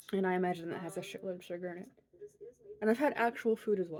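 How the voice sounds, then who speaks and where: Her pitch moves in an ordinary way as this woman talks at a medium level. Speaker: crochet podcaster. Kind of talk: casual chat.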